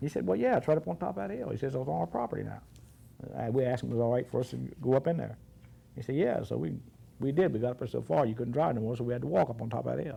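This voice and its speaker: Very fast and lively in intonation, a man talks at a medium pitch with a dark, mellow tone and vocal fry. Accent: American. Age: 60s. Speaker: oral history interviewee. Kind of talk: oral history interview. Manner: halting.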